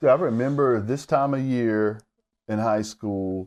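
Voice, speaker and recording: A man with an ordinary speaking voice, fairly low pitch and ordinary pitch variation, against a quiet background. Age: 50s. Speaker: podcast host. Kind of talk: casual interview. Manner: casual, chatty.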